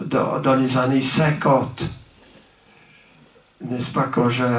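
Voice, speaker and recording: Speech comes at a very slow pace amid audible room echo and noticeable background noise. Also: man. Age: 80s+. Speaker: pastor. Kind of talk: speech at a celebration. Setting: church. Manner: halting, many repetitions and hesitations.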